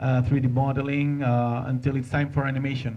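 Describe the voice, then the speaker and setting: In a Spanish accent, a man with a fairly high pitch talks at a moderate pace in a flat monotone, with audible room echo. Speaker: animator. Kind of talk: conference talk. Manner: halting, many fillers and repeats.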